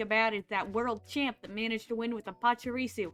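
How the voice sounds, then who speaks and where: In a very clean recording with a silent background, a woman with an American accent and a fairly high pitch speaks at a very fast pace. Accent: southern US, slips into it. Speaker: vtuber streamer. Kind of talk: casual chat. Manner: animated.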